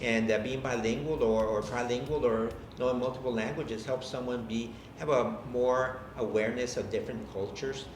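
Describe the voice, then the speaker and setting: A man's medium-pitched voice at a fairly quick pace with fairly even intonation, plus audible room echo and noticeable background noise. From Texas, McAllen (Rio Grande Valley). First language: Spanish. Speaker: college president. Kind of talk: interview. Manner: hesitant, with fillers.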